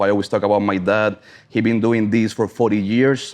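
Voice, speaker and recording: A man speaks with a Cuban accent. His pitch sits fairly low. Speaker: cigar sommelier and brand ambassador. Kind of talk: casual chat.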